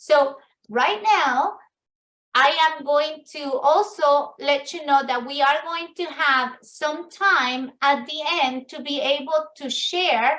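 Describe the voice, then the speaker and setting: Speaking very slowly with an Ecuadorian accent, a woman uses a high pitch, ordinary pitch variation and big swings in loudness. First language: Spanish. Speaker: business networking event host. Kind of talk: virtual networking meeting talk. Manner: halting, with fillers and restarts.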